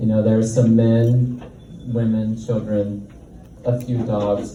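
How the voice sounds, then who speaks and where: A man at a very slow pace, with audible room echo and noticeable background noise. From Tennessee. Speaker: comedian. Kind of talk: stand-up.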